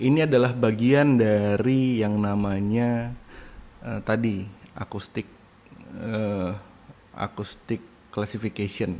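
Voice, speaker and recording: A man speaks at a fairly slow pace with an Indonesian accent. His tone is dark and mellow, and his intonation is fairly even. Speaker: university lecturer. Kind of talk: lecture. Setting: recorded online lecture from home. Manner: hesitant, with fillers.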